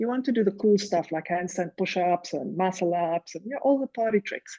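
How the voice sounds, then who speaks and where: A woman with a South African accent talks at a fairly quick pace, with a medium pitch, ordinary pitch variation and a dark, mellow tone, in a dry, close sound with no echo. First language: Afrikaans. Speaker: rowing coach and former Olympic rower. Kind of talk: casual chat. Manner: animated.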